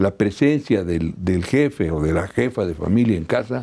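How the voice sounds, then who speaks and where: At a moderate pace, a man speaks in a very deep, low, dark and mellow voice with lively intonation. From Mexico. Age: 70s. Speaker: labor law expert; law professor guest. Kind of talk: TV interview. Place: studio. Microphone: lapel.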